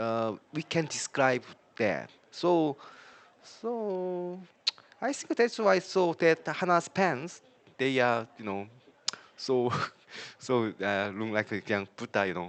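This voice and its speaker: Speaking very slowly with a Korean accent, a man takes long, frequent pauses while his pitch swings very widely. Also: medium pitch for a man. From South Korea. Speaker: language learner. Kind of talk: casual chat. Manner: halting.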